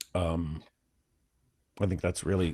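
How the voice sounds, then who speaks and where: On a very clean recording with a silent background, a man speaks at a very deep, low pitch with vocal fry in a dry, close sound with no echo. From US Midwest, Flint, Michigan. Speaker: philosophy discussion co-host. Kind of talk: casual discussion. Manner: slower-paced; halting.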